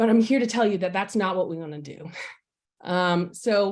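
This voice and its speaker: Fairly quick speech from a woman in a Southwest Virginia accent, with ordinary pitch variation. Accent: regional Southwest Virginia. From Southwest Virginia (Roanoke area). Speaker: political candidate. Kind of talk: campaign speech.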